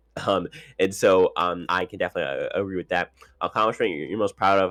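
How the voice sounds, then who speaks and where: Music plays in the background as a man with a very deep, low pitch speaks in a dry, close sound with no echo. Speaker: reality TV commentator. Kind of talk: casual commentary reading cast bios. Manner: fast; halting, many repetitions.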